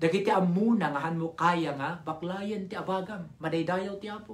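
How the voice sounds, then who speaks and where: The pace is fairly slow. The background is quiet. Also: man. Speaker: preacher. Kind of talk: sermon, live Bible study. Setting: online live stream. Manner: animated, fervent, with call-and-response. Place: home room. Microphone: phone near.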